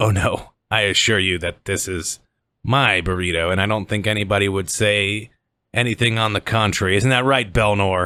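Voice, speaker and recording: In a very clean recording with a silent background, a man uses a raspy put-on character voice at a fairly low pitch, with fairly even intonation and a moderate pace. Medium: actual play. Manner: smug, authoritative.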